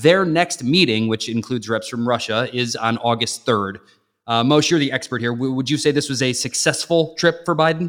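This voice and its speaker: On a very clean recording with a silent background, a man with an American accent and an unremarkable speaking voice talks at a medium pitch and moderate pace with ordinary pitch variation. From US Midwest, Chicago area (Northwest Indiana). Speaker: radio and TV host, guest co-host. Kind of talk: news discussion podcast.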